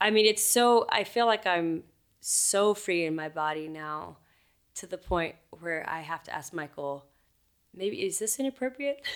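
A woman talks at a fairly slow pace with lively intonation. She has a plain, everyday voice at a medium pitch. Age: 30s. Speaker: singer-songwriter and author. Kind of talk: casual chat. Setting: recording studio.

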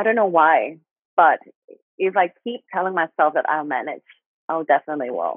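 A woman with a Thai accent, fairly low pitch, lively intonation, a moderate pace and long, frequent pauses. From Thailand. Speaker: guest sharing life story. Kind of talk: testimony. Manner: halting.

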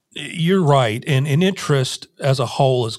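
In a very clean recording with a silent background, a man with an American accent sounds somewhat breathy. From Nebraska. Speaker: podcast host. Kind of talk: interview. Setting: studio.

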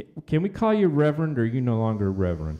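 A man is speaking. His tone is dark and mellow. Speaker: podcast host. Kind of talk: casual chat. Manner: animated.

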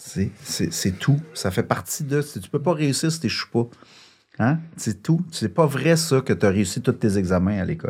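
A man with a Quebec accent, a medium pitch, a somewhat breathy quality, very wide pitch swings and big swings in loudness. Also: fairly slow pace. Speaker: shelter director and co-founder. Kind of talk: casual interview.

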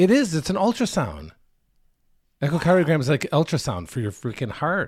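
Animated and fairly high-pitched, a man speaks at a fairly quick pace with very wide pitch swings, vocal fry, and long, frequent pauses. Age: middle-aged. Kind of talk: casual chat. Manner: animated, excitable.

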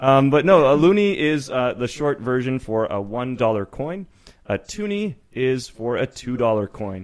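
In a Canadian accent, a man speaks at a medium pitch with lively intonation. His is an unremarkable speaking voice, delivered at a fairly slow pace. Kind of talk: casual banter interview.

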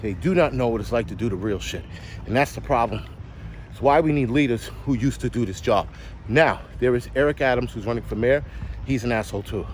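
A man with a New York accent talks at a fairly quick pace in an animated tone. His pitch is medium, with ordinary variation. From New York City. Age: 40s. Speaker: podcast host, prepper. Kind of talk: solo rant monologue.

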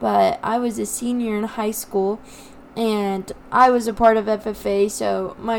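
This is an ordinary speaking voice in an American accent. The intonation stays fairly even. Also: woman. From eastern plains of Colorado. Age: 20s. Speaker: agriculture teacher and podcast co-host. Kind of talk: casual chat.

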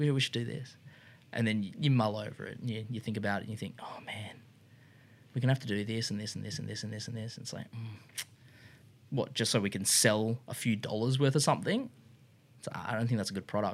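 Someone speaks very fast in an Australian accent, leaving long, frequent pauses. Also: man, medium pitch for a man. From Australia (Brisbane from grade seven). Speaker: industrial designer and motorcycle shop co-founder. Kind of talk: casual interview chat. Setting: studio room.

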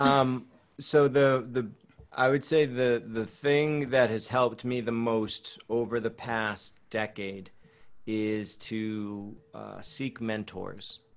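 Very slow, fairly even speech from a man at a medium pitch. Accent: American. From Boston area, US. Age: 30s. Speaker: breath coach and actor. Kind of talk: casual chat.

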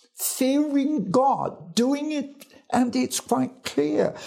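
A man with an English accent speaks in a dark, mellow tone, his pitch swinging very widely. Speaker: evangelist. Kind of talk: Bible teaching.

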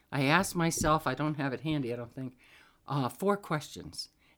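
A woman's very deep, low voice in an American accent, fairly quick and with lively intonation, over a very clean recording with a silent background. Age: 70s. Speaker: Al-Anon member. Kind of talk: personal testimony.

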